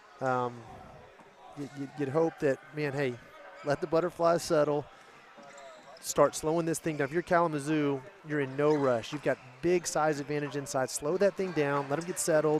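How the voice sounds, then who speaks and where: With a Texas accent, a man at a fairly high pitch speaks at a moderate pace with fairly even intonation and long, frequent pauses, over noticeable background noise. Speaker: basketball commentator. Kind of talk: live commentary.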